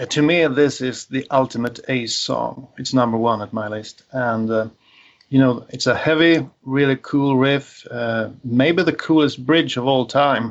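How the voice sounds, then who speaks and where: Using fairly even intonation, a man with a Swedish accent talks at a fairly slow pace. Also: medium pitch for a man. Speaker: podcast panelist. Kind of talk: casual chat.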